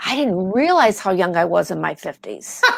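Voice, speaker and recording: At a moderate pace, a woman speaks on a very clean recording with a silent background. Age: 60s. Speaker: actress and video producer. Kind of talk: casual interview chat.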